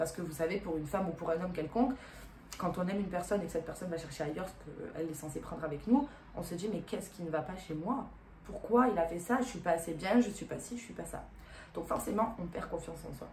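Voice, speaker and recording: Speaking at a very fast pace, a woman's voice shows ordinary pitch variation and big swings in loudness, with audible room echo and noticeable background noise. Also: fairly low pitch for a woman. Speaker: relationship advice youtuber. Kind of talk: vlog monologue. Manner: casual with fillers.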